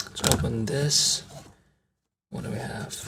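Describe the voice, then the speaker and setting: A man whispering. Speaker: card unboxing youtuber. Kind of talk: casual product unboxing.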